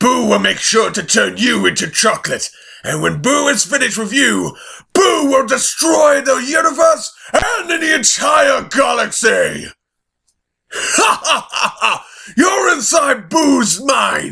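In a put-on character voice, a man speaks at an extremely high pitch with a raspy sound. His voice is raised and projected, and his pace is fairly slow. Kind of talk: fan voice-over audition. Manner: menacing, gloating.

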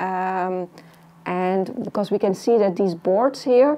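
Slowly, a woman speaks at a medium pitch in a dark, mellow tone. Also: ordinary pitch variation.

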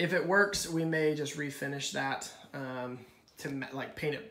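With audible room echo, a man talks at a fairly slow pace and with ordinary pitch variation. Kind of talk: walk-through commentary. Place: kitchen. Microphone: phone near.

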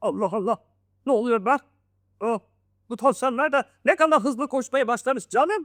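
A woman puts on a theatrical character voice, high in pitch, at a moderate pace with long, frequent pauses. The recording is very clean, with a silent background. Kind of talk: bedtime story. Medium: read story. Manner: boastful, theatrical.

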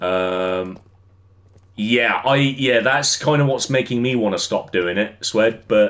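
At a very slow pace, a man speaks with an English accent. His pitch variation is ordinary. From England. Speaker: gaming streamer. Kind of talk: casual livestream chat while gaming. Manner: casual, filler-heavy. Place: home room.

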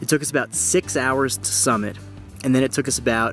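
Faint music plays behind a man whose voice has a dry sound with no echo. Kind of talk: casual vlog chat. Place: tent. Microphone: phone near.

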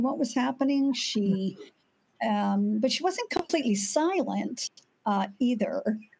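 With light background noise behind her, a woman speaks with lively intonation. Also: very even loudness. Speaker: domestic violence expert; speaker. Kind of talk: panel discussion. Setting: virtual event. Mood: serious, somber. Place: home room.

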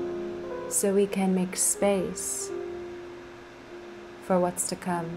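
Music plays in the background as a woman talks at a very slow pace. She takes long, frequent pauses. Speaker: performance artist. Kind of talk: spoken word poetry over music. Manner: slow, reflective.

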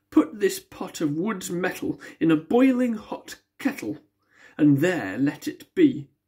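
Somewhat breathy, very slow speech with very wide pitch swings against a quiet background. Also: woman. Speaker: poetry reader. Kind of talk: poem reading aloud. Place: home room. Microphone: phone near.

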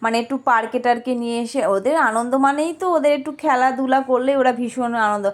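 A woman's high-pitched voice. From rural Bengal. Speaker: vlogger. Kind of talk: casual vlog narration. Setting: outdoors in a park.

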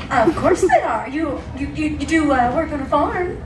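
A female-sounding, put-on character voice speaks high and fairly slowly, with slight echo and loud background noise. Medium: stage play. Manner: bouncy, playful. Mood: sarcastic.

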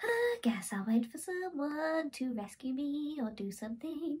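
A woman puts on a character voice, high in pitch, at a moderate pace with light background noise. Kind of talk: comic storytelling voice. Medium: read story. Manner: chirpy, nonchalant, teasing.

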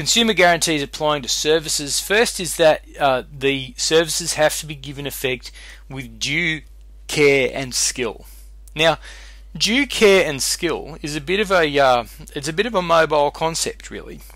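A man with an Australian accent speaks at a moderate pace. His loudness swings widely. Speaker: law lecturer. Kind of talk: lecture. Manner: casual, conversational.

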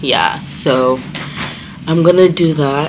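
Against noticeable background noise, a woman talks with a very deep, low pitch. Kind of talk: casual vlog chat. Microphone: phone near.

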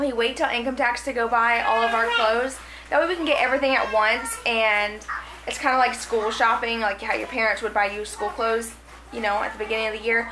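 Against noticeable background noise, a woman talks at a very fast pace with fairly even intonation. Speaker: home vlogger. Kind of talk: casual vlog chat. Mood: cheerful, chatty. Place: kitchen. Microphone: phone near.

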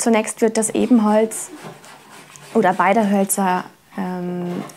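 Very slow speech over light background noise. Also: woman. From Germany, Trier (Rhineland-Palatinate). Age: 20s. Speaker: apprentice violin maker. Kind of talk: interview testimony and craft explanation. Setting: workshop. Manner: hesitant with fillers. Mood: friendly, calm.

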